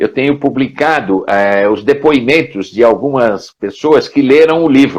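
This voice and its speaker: With a normal speaking voice, a man at a medium pitch talks at a fairly slow pace with lively intonation. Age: 60s. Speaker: professor and career trainer. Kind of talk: casual interview chat. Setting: live stream video call.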